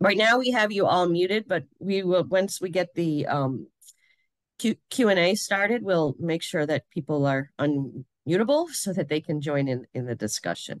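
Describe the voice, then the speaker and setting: A woman's fairly low voice moves through very wide pitch swings. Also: moderate pace, dry, close sound with no echo. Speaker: webinar host, nonprofit director. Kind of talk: online panel discussion.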